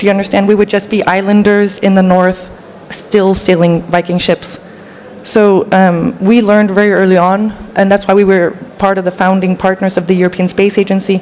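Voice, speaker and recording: A woman speaks at a medium pitch and a fairly quick pace, in a monotone, flat intonation. Her loudness stays very even over noticeable background noise. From Denmark. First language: Danish. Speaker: panel speaker. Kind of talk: panel discussion.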